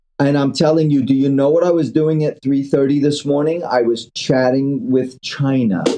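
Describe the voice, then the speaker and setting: Speaking at a fairly high pitch, a man goes on with hardly any pauses. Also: moderate pace, very even loudness. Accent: New York. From New York City (Queens). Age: 60s. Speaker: angel investor. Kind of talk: interview, casual chat. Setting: phone call. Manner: animated.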